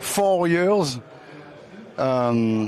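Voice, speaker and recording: A man talks in a French accent, his pitch swinging very widely. Noticeable background noise runs underneath. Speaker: racing team president. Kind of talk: presentation. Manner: halting.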